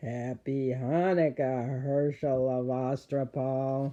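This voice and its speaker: Very slowly, a put-on character voice speaks at a low-to-middle pitch with a creaky sound. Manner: menacing.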